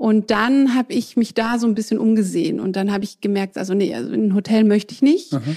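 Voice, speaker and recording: The voice is dark, mellow and somewhat breathy, racing at a very fast pace. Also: woman, fairly high pitch for a woman, ordinary pitch variation. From southern Germany. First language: French (speaking German). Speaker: fashion entrepreneur. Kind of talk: interview.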